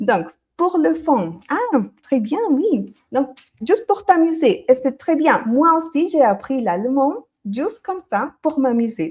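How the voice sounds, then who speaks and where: A woman with a slight Colombian accent talks at a very slow pace in a high pitch, her voice swinging very widely up and down. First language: Spanish (speaking French). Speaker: Spanish teacher. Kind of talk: live-stream language lesson. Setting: livestream.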